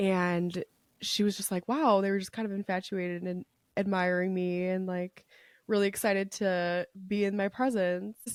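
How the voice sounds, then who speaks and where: A woman with an ordinary speaking voice talks at a moderate pace and medium pitch, her intonation fairly even and the sound dry and close with no echo. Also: very clean recording, silent background. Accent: American. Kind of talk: casual chat.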